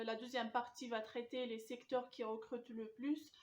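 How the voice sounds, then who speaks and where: Speaking at a fairly slow pace, a woman uses a high pitch and a monotone, flat intonation. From Algeria. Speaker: student job coach. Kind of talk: advice talk to camera. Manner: hesitant, many filler sounds.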